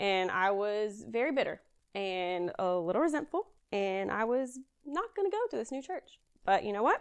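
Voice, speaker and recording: A woman with a Southern US accent, fairly high in pitch, with lively intonation and a moderate pace. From Kentucky, near Louisville. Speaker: guest sharing personal faith story. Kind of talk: testimony.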